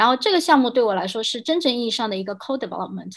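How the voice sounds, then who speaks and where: The very clean recording, with a silent background, captures a woman talking. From mainland China. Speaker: game industry product director. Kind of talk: casual panel discussion.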